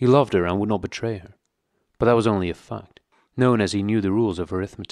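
A man delivers his words in a dramatic tone at a fairly quick pace, with fairly even intonation. The recording is very clean, with a silent background. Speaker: audiobook narrator. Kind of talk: audiobook reading aloud of a dystopian novel. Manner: measured, even narration; tense, foreboding, dramatic.

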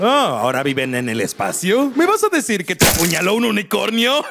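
In a cartoonish character voice with a Latin American accent, a man speaks at a fairly quick pace and a high pitch, with very wide pitch swings and a fairly bright tone over faint background noise.

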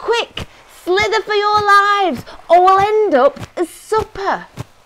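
A woman uses a put-on character voice at an extremely high pitch with a fairly bright tone. She speaks slowly, with ordinary pitch variation.

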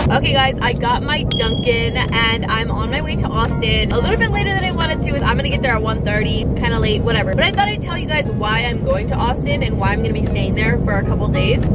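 Loud background noise fills the clip. A woman speaks at a very fast pace. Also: dry sound with no echo. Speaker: vlogger. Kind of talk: casual vlog chat. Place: car. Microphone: phone near.

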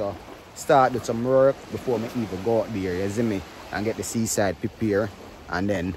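A man speaks at a moderate pace in a fairly low pitch with ordinary pitch variation, and the dry, echo-free sound carries noticeable background noise. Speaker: vlogger. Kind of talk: casual vlog chat. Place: beach. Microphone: phone near.

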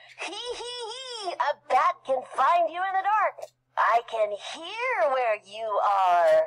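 A put-on character voice, shrill and extremely high in pitch, speaks at a very slow pace. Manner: screechy, squealing.

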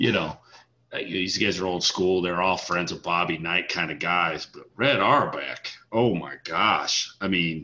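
A man speaks with a low pitch. His tone is bright and sharp. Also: ordinary pitch variation, fairly slow pace.

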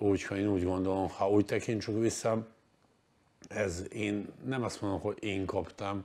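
The voice has a dark, mellow tone and monotone, flat intonation. Long pauses come often. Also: man. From Croatia (Dubrovnik). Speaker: basketball coach. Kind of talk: interview. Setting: studio. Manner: halting. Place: studio. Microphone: lapel.

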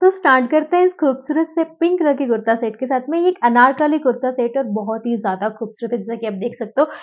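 Against a quiet background, a woman talks at a fairly quick pace and a high pitch. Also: hardly any pauses. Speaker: fashion haul vlogger. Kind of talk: product review chat. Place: home room. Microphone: lapel.

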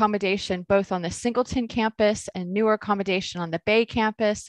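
With an unremarkable speaking voice, a woman with an American accent talks at a medium pitch and moderate pace, the sound dry with no echo and the background quiet. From United States. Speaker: professor and university dean. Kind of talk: webinar presentation. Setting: video call. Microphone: webcam.

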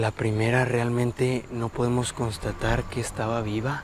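Over noticeable background noise, a man speaks in a monotone with flat intonation, the sound dry with no echo. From Mexico. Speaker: paranormal explorer youtuber. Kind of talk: on-location exploration vlog. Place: open country. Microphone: lapel.

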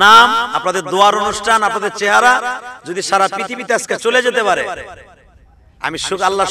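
A man speaks in a raised, projected voice with an animated tone and lively intonation. The sound is dry with no echo, over light background noise. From Bangladesh. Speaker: Islamic preacher. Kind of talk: sermon. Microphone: podium.

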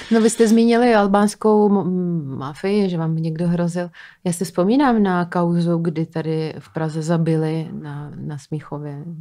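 Speaking at a fairly slow pace with a non-native accent, a woman uses a fairly low pitch, ordinary pitch variation and a dark, mellow tone, her loudness swinging widely against a quiet background. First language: not Czech (speaking Czech). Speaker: podcast host. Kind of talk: interview. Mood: curious, light and friendly. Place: studio. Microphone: studio mic.

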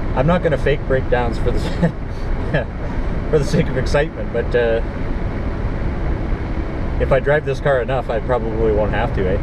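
A man at a moderate pace, with long, frequent pauses and loud background noise. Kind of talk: casual vlog chat. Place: car. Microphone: camera far.

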